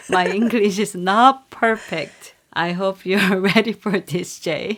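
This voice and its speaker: With a Korean accent, a woman talks at a very slow pace, her medium-pitched voice holding a fairly even intonation. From South Korea. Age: 40s. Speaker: sex toy store owner. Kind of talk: casual interview chat. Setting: podcast recording.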